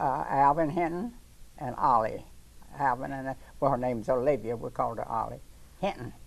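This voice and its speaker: With an American accent, a woman talks at a fairly quick pace in a very deep, low voice with vocal fry, ordinary pitch variation and long, frequent pauses. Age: 90s. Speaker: elderly local resident. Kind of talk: interview.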